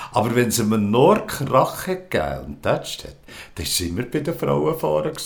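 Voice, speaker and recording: A man with a medium-pitched voice talks at a moderate pace, his pitch swinging very widely and his loudness rising and falling a lot, with audible room echo and noticeable background noise. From rural Switzerland. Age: 70s. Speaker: queer seniors association volunteer. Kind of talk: interview. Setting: at his home. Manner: halting.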